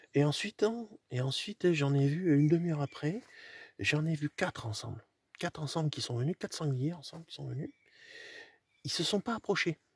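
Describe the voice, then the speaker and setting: The speaker is soft-spoken, with ordinary pitch variation and a moderate pace broken by long, frequent pauses. The sound is dry and close, with no echo. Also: man. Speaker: hunter. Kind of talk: casual vlog narration. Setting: outdoors in a hunting hide. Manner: halting, many repetitions.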